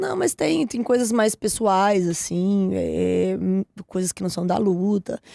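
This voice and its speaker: A woman at a very slow pace, in a dry, close sound with no echo. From Minas Gerais, Brazil (Ribeirão das Neves). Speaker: professional MMA fighter. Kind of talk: casual interview chat. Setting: podcast studio.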